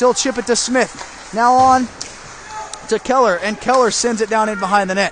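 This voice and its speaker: A man's voice, extremely high-pitched with ordinary pitch variation, fairly quick, over noticeable background noise. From Indiana, USA. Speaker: aspiring sports broadcaster. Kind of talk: hockey play-by-play commentary. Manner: fast.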